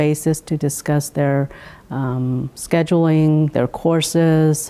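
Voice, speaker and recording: A woman's very deep, low pitch. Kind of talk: interview answer. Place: hall. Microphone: lapel.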